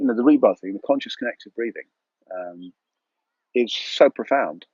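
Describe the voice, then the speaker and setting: A man talks at a fairly quick pace with an English accent. His loudness swings widely. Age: 60s. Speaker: yoga and breathwork teacher. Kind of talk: casual interview. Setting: outdoors on allotment, live video. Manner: halting, repetitive.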